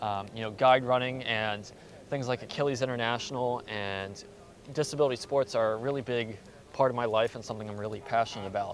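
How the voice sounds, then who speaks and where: With an American accent, a man talks at a very fast pace in fairly even intonation. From US, Baltimore, Maryland. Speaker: postgraduate student, podcaster. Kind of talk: casual interview. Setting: outdoors, walking around a square.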